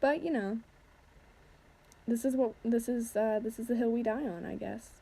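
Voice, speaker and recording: A woman speaks with a dark, mellow tone and fairly high pitch. Her intonation stays fairly even. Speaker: lifestyle vlogger. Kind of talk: casual vlog voiceover. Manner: fast; rambling with fillers.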